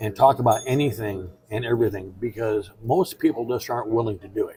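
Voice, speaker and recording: A plain, everyday voice at a fairly quick pace, with ordinary pitch variation and big swings in loudness. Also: man, medium pitch for a man. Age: 60s. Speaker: podcast guest. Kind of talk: casual interview conversation. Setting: seated in a booth, on camera.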